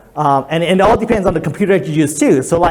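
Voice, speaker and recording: Noticeable background noise sits behind a man speaking at a high pitch. His pitch variation is ordinary. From Hawaii. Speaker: digital marketing consultant. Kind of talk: presentation to a workshop audience. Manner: fast.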